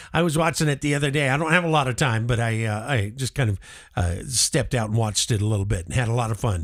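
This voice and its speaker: Delivery is very fast, with lively intonation. The recording is very clean, with a silent background. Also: man, medium pitch for a man. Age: 60s. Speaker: live show host. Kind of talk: casual chat. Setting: live stream. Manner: halting.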